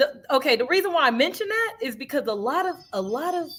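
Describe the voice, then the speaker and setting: Raising and projecting her voice, a woman speaks in an animated tone at a fairly quick pace, her pitch swinging very wide. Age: 30s. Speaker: podcast guest. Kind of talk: casual chat.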